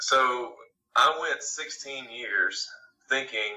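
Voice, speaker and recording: At a very slow pace, a man talks with a Southern US accent. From Alabama, US South. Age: 20s. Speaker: singer-songwriter. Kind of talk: interview. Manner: hesitant, many fillers.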